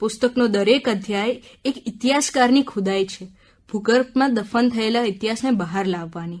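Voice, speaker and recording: A woman speaks with a somewhat breathy voice at a fairly high pitch. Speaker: radio book-review presenter. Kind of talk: radio book review narration. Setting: radio studio.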